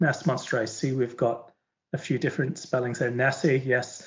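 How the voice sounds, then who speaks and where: Somewhat breathy, a man talks at medium pitch. His voice sits in the middle range. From Northern Ireland, County Antrim coast. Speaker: publisher's teacher trainer, former teacher. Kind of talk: online webinar talk. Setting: video call from home living room. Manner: hesitant, many fillers and repetitions.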